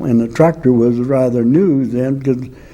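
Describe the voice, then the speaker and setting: There is audible room echo around a man with an American accent. He speaks at a fairly slow pace. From Louisiana, Acadiana. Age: 80s+. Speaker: author and former space program worker. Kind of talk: interview storytelling. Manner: halting, many 'uh' fillers.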